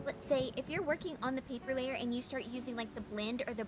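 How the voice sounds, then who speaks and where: A soft-spoken woman with a high pitch is heard over noticeable background noise. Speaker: vtuber streamer and digital artist. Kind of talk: casual livestream chat with painting tutorial. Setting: livestream. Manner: hesitant, with fillers and repeats.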